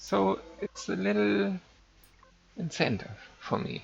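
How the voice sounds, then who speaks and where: A very slow delivery in a non-native accent over noticeable background noise. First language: not English. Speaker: game server admin and streamer. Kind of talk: live-streamed game tutorial. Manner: halting, with fillers.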